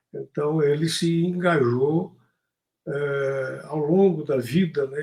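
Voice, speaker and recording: Somewhat breathy and fairly high-pitched, a man talks at a very slow pace with fairly even intonation. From Brazil, Tocantins (Porto Nacional). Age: 70s. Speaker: poet and activist. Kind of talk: interview.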